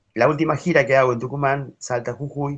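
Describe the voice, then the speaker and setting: Moderate pace from a male speaker. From Argentina. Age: 50s. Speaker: harmonica player; interviewee. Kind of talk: interview. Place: home room. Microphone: video call.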